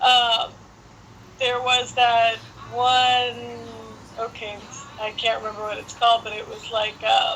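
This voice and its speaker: A woman with a fairly high pitch speaks at a very slow pace, leaving long, frequent pauses, with ordinary pitch variation, big swings in loudness and noticeable background noise. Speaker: interviewer. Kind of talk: casual chat.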